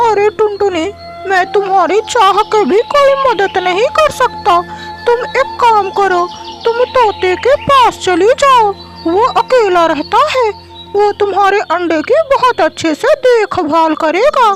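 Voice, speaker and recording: A cartoonish character voice speaks at a fairly slow pace. Clear music plays in the background. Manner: warm, earnest.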